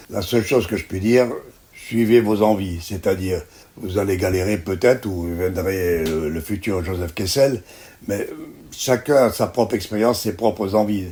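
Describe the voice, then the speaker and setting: With a dark, mellow tone, a man talks at a fairly slow pace and a fairly low pitch. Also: ordinary pitch variation. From Algeria. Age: 90s. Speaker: veteran journalist. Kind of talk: interview. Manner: halting.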